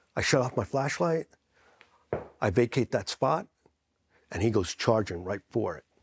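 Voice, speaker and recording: With an American accent, a man of medium pitch talks at a moderate pace, somewhat breathy, with lively intonation and long, frequent pauses, in a dry, close sound with no echo. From New Jersey. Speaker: military veteran. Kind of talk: interview storytelling. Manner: animated.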